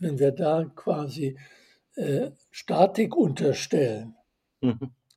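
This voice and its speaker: A man speaks in a fairly high voice with lively intonation. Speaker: author and systems theorist. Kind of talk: interview.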